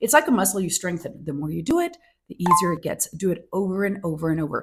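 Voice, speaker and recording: Somewhat breathy and fairly low-pitched, a woman talks at a very fast pace. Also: ordinary pitch variation. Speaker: manifestation coach. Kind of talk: casual talk to camera. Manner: halting, self-correcting at times.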